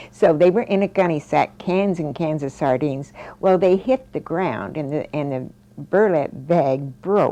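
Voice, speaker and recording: A woman talks at a moderate pace in an American accent, her intonation lively. Noticeable background noise runs behind her. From US Midwest (Fort Leavenworth, Kansas). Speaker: interviewee recalling family history. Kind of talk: oral history interview.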